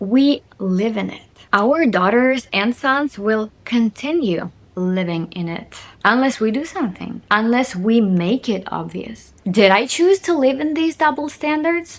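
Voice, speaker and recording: An animated woman's voice, fairly high and slow, with very wide pitch swings, on a very clean recording with a silent background. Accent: Russian. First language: Russian. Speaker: video blogger. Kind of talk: casual monologue to camera.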